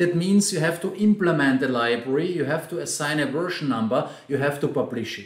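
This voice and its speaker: Audible room echo surrounds a man's voice. He has a fairly high pitch and speaks with an Austrian accent. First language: German. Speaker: software trainer and consultant. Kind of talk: conference talk.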